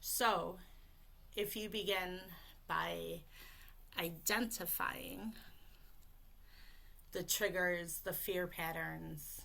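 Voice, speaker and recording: Speaking at a very slow pace with long, frequent pauses, a woman is heard in a room with audible echo. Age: 30s. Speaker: voice coach for people who stutter. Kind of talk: live webinar presentation.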